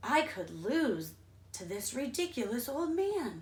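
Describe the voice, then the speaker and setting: Adopting a put-on character voice, a woman speaks slowly-ish at a high pitch, her voice swinging very widely up and down. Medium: read story. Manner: sneering.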